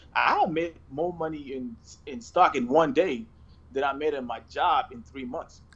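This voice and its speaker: A man with a slight South Sudanese accent at a fairly slow pace, fairly high in pitch, with ordinary pitch variation and big swings in loudness. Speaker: investor and entrepreneur. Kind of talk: casual interview chat.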